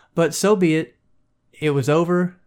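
A man speaks with a slight Southern US accent. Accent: slight Southern US twang. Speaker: podcast host. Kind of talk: casual solo commentary. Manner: casual, lots of filler words.

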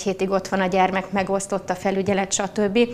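Noticeable background noise surrounds the recording. A woman with a medium pitch talks at a fairly quick pace. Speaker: politician. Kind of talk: debate.

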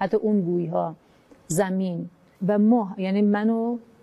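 The woman talks at a moderate pace. She has a dark, mellow tone. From Kermanshah, Iran (Kurdish). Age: 40s. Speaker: near-death experiencer, homemaker. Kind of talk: personal testimony interview. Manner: halting.

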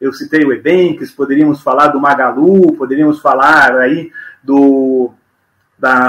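A man's bright, sharp voice with lively intonation. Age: 50s. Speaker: business mentor, former TV executive. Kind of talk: podcast interview. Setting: live video podcast.

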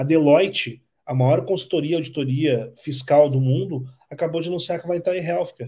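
A man with a fairly high pitch and a dark, mellow tone speaks fairly quickly, somewhat breathy, with ordinary pitch variation. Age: 30s. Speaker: entrepreneur. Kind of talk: interview.

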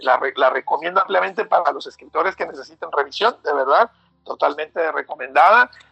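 A man speaks with music in the background. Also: dry, close sound with no echo. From Mexico City. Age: 40s. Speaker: author. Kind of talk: interview. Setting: phone call. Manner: halting.

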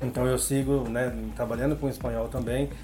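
There is audible echo in the room. Background noise is noticeable too. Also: man. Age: 40s. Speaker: language teacher. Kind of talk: casual interview.

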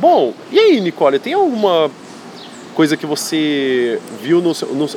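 A woman's voice makes very wide pitch swings over noticeable background noise. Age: 20s. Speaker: writing teacher and podcast host. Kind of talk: casual chat.

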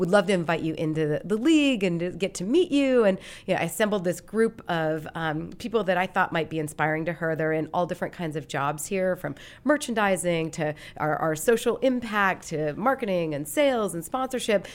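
This woman has a plain, everyday voice, fairly low in pitch, with lively intonation and a fairly quick pace, recorded very cleanly against a silent background. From Montana, Great Falls. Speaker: sports league marketing executive. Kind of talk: interview.

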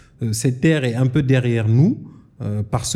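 A man speaks at medium pitch in a dark, mellow, somewhat breathy tone. His pitch varies in an ordinary way. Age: 30s. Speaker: geologist and energy entrepreneur. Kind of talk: interview. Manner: hesitant with fillers.

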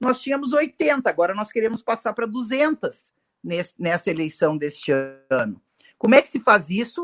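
In a dry, close sound with no echo, a woman with a fairly high pitch shows vocal fry, very wide pitch swings, and long, frequent pauses. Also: moderate pace. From Rio Grande do Sul, Brazil. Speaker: women's wing leader of a political party. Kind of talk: political live discussion.

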